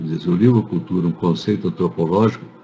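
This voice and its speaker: The man's voice has a dark, mellow tone, somewhat breathy, with lively intonation. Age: 80s+. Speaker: anthropology professor. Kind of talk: interview answering students' questions. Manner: halting, many false starts.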